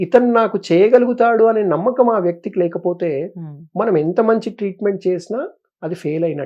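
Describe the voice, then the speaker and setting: High pitch from a man, with ordinary variation in pitch. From Hyderabad, Telangana, India. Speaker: neurosurgeon. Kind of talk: interview.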